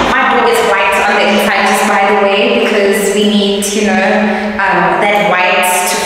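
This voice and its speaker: A woman speaks at a fairly slow pace in a monotone, flat intonation. Strong room echo and noticeable background noise surround her voice. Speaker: vlogger showing her office. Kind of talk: casual vlog chat. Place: empty room.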